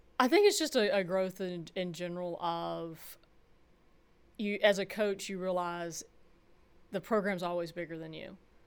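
A woman in a Southern US accent, medium in pitch, with fairly even intonation, a moderate pace, long and frequent pauses and big swings in loudness, in a very clean recording with a silent background. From rural Georgia, US South. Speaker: college softball head coach. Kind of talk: interview.

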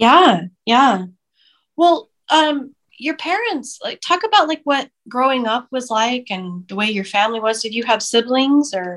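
Fairly slow speech from a woman at a high pitch, in a very clean recording with a silent background. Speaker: podcast co-host. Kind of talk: casual interview chat.

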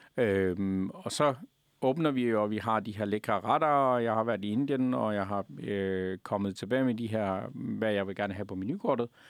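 On a very clean recording with a silent background, a man talks fairly slowly in an ordinary speaking voice, his fairly low pitch showing ordinary pitch variation. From Afghanistan. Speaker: restaurant owner. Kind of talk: interview.

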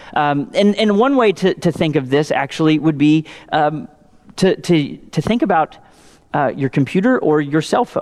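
A man with an Indiana accent talks at a moderate pace in a fairly high pitch, with lively intonation and very even loudness. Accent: Hoosier (Indiana) pronunciation. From Indiana, US Midwest. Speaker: pastor. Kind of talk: sermon. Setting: church. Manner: halting, many fillers.

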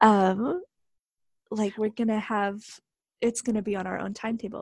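The recording is dry and close, with no echo. A woman speaks at a fairly high pitch, sounding somewhat breathy. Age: 20s. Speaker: interview guest sharing personal story. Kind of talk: interview.

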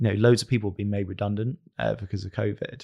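In a very clean recording with a silent background, a man with an unremarkable speaking voice talks at a fairly low pitch with fairly even intonation. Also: dry, close sound with no echo. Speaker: agency founder. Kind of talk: casual interview chat.

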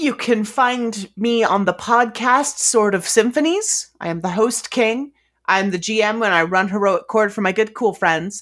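A woman with a fairly high voice talks at a fairly slow pace. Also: ordinary pitch variation. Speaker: player and guest. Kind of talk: actual play roleplaying game, in character. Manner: casual, conversational, laughs often.

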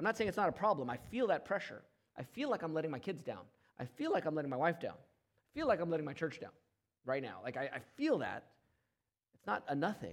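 A man talks at a very fast pace and a fairly high pitch with vocal fry, very wide pitch swings and big swings in loudness. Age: 40s. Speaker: pastor. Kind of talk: sermon.

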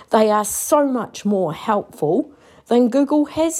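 A woman's very slow pace amid noticeable background noise. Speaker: listener contributor. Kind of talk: voice message. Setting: recorded voice message.

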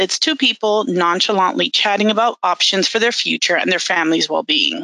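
With a bright, sharp tone and ordinary pitch variation, a woman speaks at a medium pitch in a dry, close sound with no echo. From Miami, Florida. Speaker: bilingual benefits counselor. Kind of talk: interview.

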